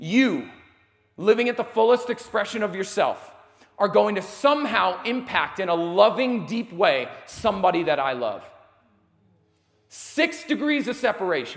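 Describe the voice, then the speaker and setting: A loud, passionate, high-pitched male voice at a moderate pace, with lively intonation and long, frequent pauses. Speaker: motivational speaker. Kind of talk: motivational talk to live audience. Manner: loud and passionate.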